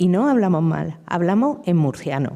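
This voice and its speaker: Speaking at a fairly slow pace, a woman uses a medium-pitched voice with a dark, mellow tone. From Murcia, Spain (Lorca area). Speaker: novelist and poet. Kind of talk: public literary conversation. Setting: university lecture hall with audience.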